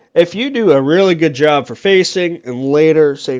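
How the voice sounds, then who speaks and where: At a moderate pace, a man talks. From Canada. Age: 20s. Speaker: gaming YouTuber. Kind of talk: casual gameplay commentary. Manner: rambling, conversational.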